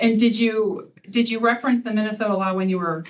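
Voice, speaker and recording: At a very fast pace, a woman talks at a medium pitch with fairly even intonation. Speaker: attorney. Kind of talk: witness examination at hearing. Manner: loud.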